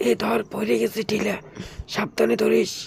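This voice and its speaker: Using a put-on character voice, a man speaks at a moderate pace with a raspy, medium-pitched sound. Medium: comedy sketch. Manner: rustic dialect, quick.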